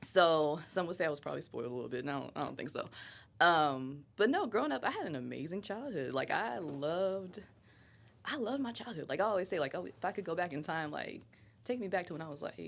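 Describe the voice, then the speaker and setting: Speaking very fast in an American accent, a woman uses lively intonation at a fairly low pitch. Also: very clean recording, silent background. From Ohio. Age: 20s. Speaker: podcast guest, mother. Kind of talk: casual chat. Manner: animated.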